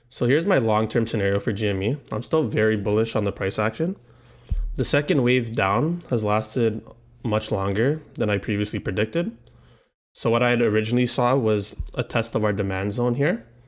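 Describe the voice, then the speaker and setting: Over music in the background, a man talks at a fairly quick pace in a medium pitch, his pitch variation ordinary and his loudness very even. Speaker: stock trading youtuber. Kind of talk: market analysis video.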